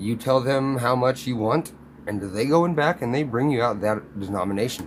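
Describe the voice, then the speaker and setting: A man talks with a plain, everyday voice at a moderate pace. His pitch is medium and his intonation lively. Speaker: coin collecting vlogger. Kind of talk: casual video monologue. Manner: rambling with fillers and repeats.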